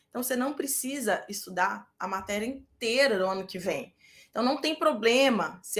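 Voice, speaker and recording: A woman with a Minas Gerais accent speaks in an animated tone. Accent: Minas Gerais Brazilian. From Brazil, Minas Gerais. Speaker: medical residency exam prep teacher. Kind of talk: live online class. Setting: live stream with chat.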